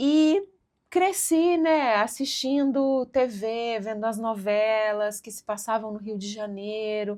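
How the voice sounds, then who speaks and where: With a Minas Gerais accent, a woman speaks at a very slow pace and a fairly high pitch, showing ordinary pitch variation and big swings in loudness in a very clean recording with a silent background. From Minas Gerais, Brazil (Coronel Fabriciano, eastern Minas). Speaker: cultural project manager. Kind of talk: casual interview chat. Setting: studio.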